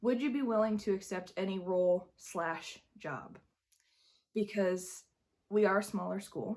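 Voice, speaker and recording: Quiet and fairly slow, a woman talks at a medium pitch with ordinary pitch variation. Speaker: high school drama director and vlogger. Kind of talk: vlog. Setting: empty school. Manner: quiet, hushed.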